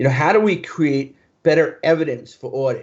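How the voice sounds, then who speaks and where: A man with ordinary pitch variation. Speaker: conference keynote speaker. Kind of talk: conference talk. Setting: virtual conference. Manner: fast.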